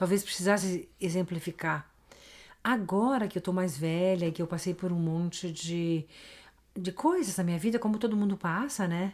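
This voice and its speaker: A woman with an unremarkable speaking voice at medium pitch, moderate in pace, on a very clean recording with a silent background. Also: ordinary pitch variation. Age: 60s. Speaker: podcast guest, host's mother. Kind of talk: casual interview chat.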